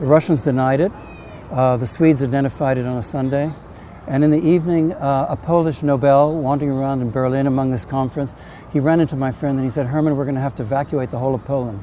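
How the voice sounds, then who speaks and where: The man's voice sits fairly high and his intonation is fairly even. He talks at a very fast pace over noticeable background noise. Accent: American. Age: 70s. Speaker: novelist. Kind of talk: personal testimony. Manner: halting.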